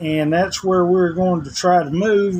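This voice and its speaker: A man with a Southern US accent speaks in a high pitch. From US South, Tennessee. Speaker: vlogger. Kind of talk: casual vlog monologue. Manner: rambling, informal.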